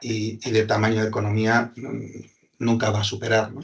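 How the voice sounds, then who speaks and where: A man's medium-pitched voice at a fairly slow pace, with a Basque accent. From Basque Country, Spain (Hondarribia, Gipuzkoa). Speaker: business consultant. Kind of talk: webinar presentation.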